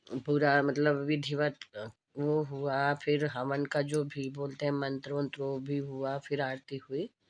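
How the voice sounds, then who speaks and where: In a very deep, low pitch, a woman speaks with monotone, flat intonation and hardly any pauses. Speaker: vlogger. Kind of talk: casual vlog narration. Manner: halting, many fillers.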